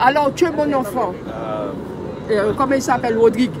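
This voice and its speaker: A woman speaks at a high pitch and a moderate pace with lively intonation. Noticeable background noise can be heard. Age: old. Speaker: protest supporter. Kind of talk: emotional public testimony.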